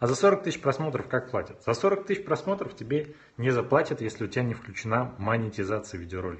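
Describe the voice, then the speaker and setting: Very fast and somewhat breathy, a man's medium-pitched voice moves through very wide pitch swings. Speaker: video blogger and YouTube marketing consultant. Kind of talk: live stream Q&A with viewers. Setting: live video stream on smartphone, standing. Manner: animated, moving a lot on camera. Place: home room.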